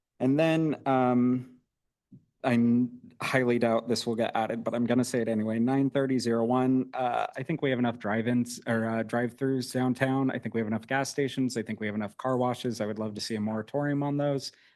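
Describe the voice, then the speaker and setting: A man's monotone, flat delivery at a medium pitch and a fairly quick pace. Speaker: public commenter. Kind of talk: public comment at a meeting. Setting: city planning commission meeting. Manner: fast.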